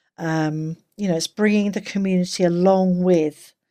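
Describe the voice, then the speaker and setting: A woman with an English accent speaks with a dark, mellow tone at a fairly low pitch and fairly even intonation. The recording is very clean, with a silent background. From England. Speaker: game forum moderator. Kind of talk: casual chat. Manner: halting.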